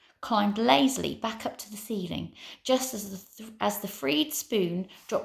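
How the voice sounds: Lively intonation in a natural reading voice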